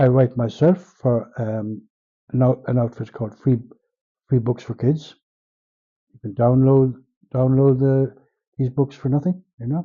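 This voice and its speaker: A man with an Irish accent, somewhat breathy, at a fairly slow pace with fairly even intonation and long, frequent pauses. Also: medium pitch for a man. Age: 70s. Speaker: writer and translator. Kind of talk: interview. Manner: halting.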